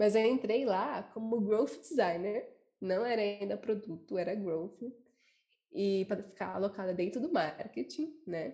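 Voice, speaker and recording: Somewhat breathy, a woman speaks at a fairly slow pace and a medium pitch with lively intonation and a dark, mellow tone. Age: 20s. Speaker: designer. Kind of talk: casual chat.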